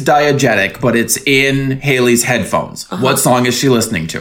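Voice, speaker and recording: A man with a medium-pitched voice speaks at a moderate pace. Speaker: podcast host. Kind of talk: casual chat. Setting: home studio. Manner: animated.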